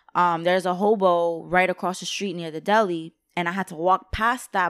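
Talking at a fairly quick clip with fairly even intonation, a woman with a fairly low pitch is captured in a very clean recording over a silent background. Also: hardly any pauses, big swings in loudness. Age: young. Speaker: podcast guest. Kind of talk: casual chat.

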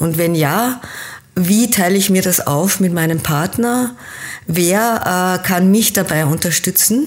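Over noticeable background noise, a woman speaks very slowly at a medium pitch with very even loudness. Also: ordinary pitch variation. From Austria, teen years in Kenya. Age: 50s. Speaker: business coach. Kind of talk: interview.

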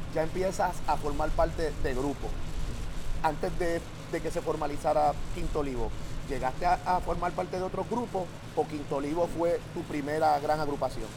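A man with a fairly high pitch talks at a moderate pace and fairly even intonation, with audible room echo and noticeable background noise. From Puerto Rico, Santurce (San Juan). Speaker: podcast host and plena musician. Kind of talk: casual interview. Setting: outdoors in the neighborhood at night.

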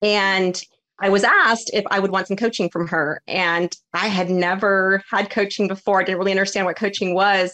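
This woman speaks with an American accent at a moderate pace, her medium pitch held in a flat monotone and her loudness very even. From Iowa, US. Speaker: business coach. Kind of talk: casual interview.

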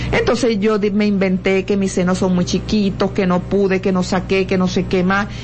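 A woman at medium pitch, moderate pace, and very even loudness, with monotone, flat intonation, hardly any pauses, and noticeable background noise. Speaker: lawyer and educator. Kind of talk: radio interview. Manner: halting, repeats words.

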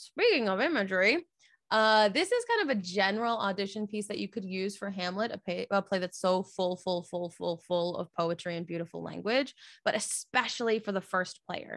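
In a normal speaking voice, a woman at medium pitch talks at a moderate pace with ordinary pitch variation, recorded with a dry, close sound and no echo. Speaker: theatre podcast host. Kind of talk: casual chat; verse monologue performed. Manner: rambling, self-deprecating.

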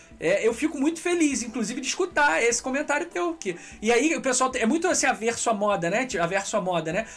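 This man talks fairly fast in an extremely high voice that swings very widely in pitch. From Brazil, Petrópolis (Rio de Janeiro state). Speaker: podcast host. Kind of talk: casual chat. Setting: live stream.

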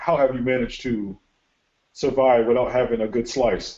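A man speaks at a moderate pace in a normal speaking voice. His pitch is medium, and he talks with an American accent. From Connecticut. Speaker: semi-pro football podcast host. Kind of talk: casual sports podcast interview.

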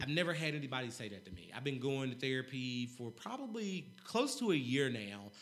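Speaking with an American accent, a man talks at a fairly quick pace with hardly any pauses and a medium pitch. His intonation is lively, his loudness swings widely, and room echo is audible. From North Carolina. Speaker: mental health and financial literacy advocate. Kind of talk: casual interview.

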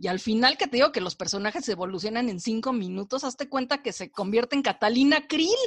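A woman in a Mexican accent speaks at a very fast pace with hardly any pauses, a high pitch and lively intonation. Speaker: film and series critic. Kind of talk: casual chat.

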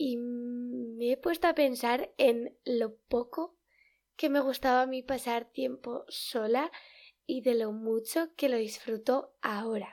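Speaking very slowly, a woman with a Spanish accent uses a high-pitched voice. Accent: Peninsular Spanish. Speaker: podcast host. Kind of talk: casual solo podcast talk. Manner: hesitant, many fillers.

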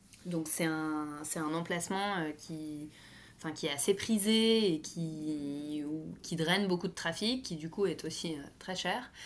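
A woman talks at a very slow pace in a fairly low pitch, her pitch variation ordinary. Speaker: fashion brand co-founder. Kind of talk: podcast interview.

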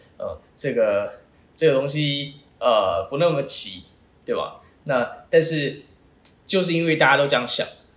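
A man talks fairly slowly, with long, frequent pauses. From Taiwan. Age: 20s. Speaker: startup founder. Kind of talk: interview.

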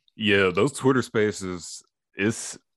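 The background is quiet. A man talks at a very slow pace. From East Tennessee. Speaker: podcast host. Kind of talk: casual interview chat.

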